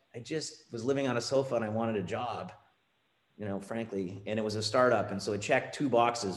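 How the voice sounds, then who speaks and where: With audible room echo, a man talks at a fairly quick pace, his medium pitch showing ordinary variation. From Canada, Ontario. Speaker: finance executive. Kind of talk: interview.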